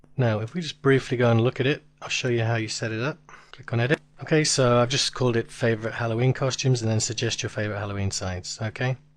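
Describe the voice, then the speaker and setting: Very fast in pace, this man talks at medium pitch with fairly even intonation. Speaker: internet marketing tutor. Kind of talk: tutorial. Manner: casual, conversational.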